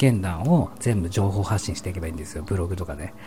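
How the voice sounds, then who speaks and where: The intonation is lively, with noticeable noise in the background. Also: man. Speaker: solo streamer. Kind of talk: late-night sleep-talk broadcast, intimate whispered ASMR-style monologue. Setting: home recording with stereo microphone.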